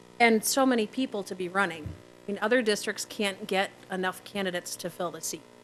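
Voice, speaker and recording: A woman with an American accent talks at a fairly quick pace, with hardly any pauses, a medium pitch and ordinary pitch variation. Her loudness swings widely, and music plays in the background. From Neenah, Wisconsin, US Midwest. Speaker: school board candidate, attorney. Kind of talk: candidate forum speech. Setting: public forum with audience.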